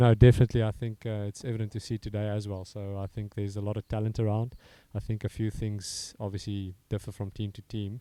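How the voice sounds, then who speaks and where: A man with a South African accent speaks very fast in a fairly low, dark, mellow voice with monotone, flat intonation, on a very clean, dry, close recording with no echo and a silent background. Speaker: strength and conditioning coach. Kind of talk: interview. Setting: commentary box. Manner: halting.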